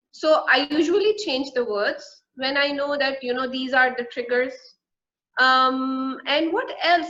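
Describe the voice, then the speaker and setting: A woman projects a raised voice at a moderate pace, her high pitch carried by lively intonation. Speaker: soft-skills trainer and coach. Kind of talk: interview. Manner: repetitive, with fillers.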